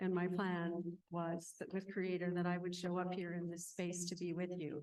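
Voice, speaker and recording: A woman with an American accent, medium in pitch, with a plain, everyday voice at a moderate pace. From Northwest Minnesota, Ojibwe reservation. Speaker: mindfulness teacher and counselor. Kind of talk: conference talk. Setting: stage with audience at conference. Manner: calm, reflective.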